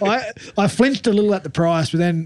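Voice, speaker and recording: A man talks with an Australian accent. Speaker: rugby league pundit, former player. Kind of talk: casual chat.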